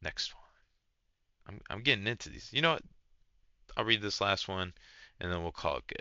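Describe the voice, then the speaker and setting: The delivery has lively intonation and big swings in loudness. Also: man, fairly low pitch for a man, fairly quick pace. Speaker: online content creator reading and reacting to stories. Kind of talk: reading aloud with casual reactions. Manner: halting, stumbles over words; casual, slangy.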